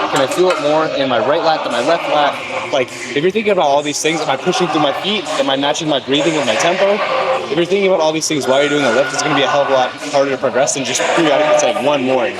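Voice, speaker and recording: Amid noticeable background noise and audible room echo, a man talks at a very fast pace, his fairly high pitch showing ordinary variation. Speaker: fitness vlogger. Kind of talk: workout vlog talk. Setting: gym. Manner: casual, conversational.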